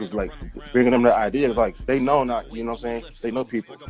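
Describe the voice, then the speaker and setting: The speaker has an American accent, and there is noticeable background noise. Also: man. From Virginia. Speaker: rapper. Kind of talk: casual chat.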